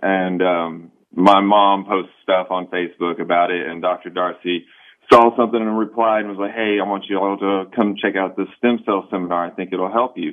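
An unremarkable speaking voice from a man with an American accent, fairly low in pitch, at a moderate pace. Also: fairly even intonation. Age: 20s. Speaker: patient. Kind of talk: testimony. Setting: phone call.

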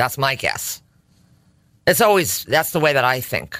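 A woman with a Connecticut accent speaks at a fairly slow pace. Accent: Connecticut, New England. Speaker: co-host, married to the other host. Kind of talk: casual conversation.

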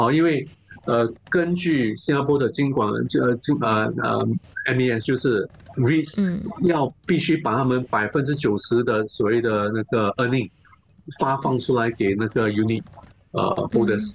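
Amid noticeable background noise, a man speaks fairly slowly at a medium pitch, with very even loudness and ordinary pitch variation. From Singapore. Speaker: investment analyst. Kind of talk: interview. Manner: halting, many fillers and repeats; code-switching into English.

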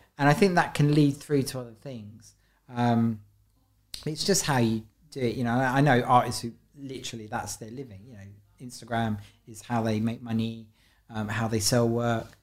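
Pausing long and often, a man with a London accent speaks at a moderate pace and medium pitch, with fairly even intonation. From South London. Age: 50s. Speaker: street and gallery artist. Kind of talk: casual interview.

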